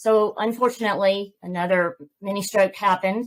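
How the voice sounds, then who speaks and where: A woman with a Southern US accent and ordinary pitch variation. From Georgia, US South. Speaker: author and podcast host. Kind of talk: interview testimony.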